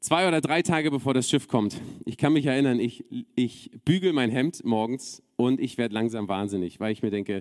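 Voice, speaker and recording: Ordinary pitch variation at a moderate pace, in an unremarkable speaking voice. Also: man. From Berlin, Germany. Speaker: preacher. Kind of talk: sermon.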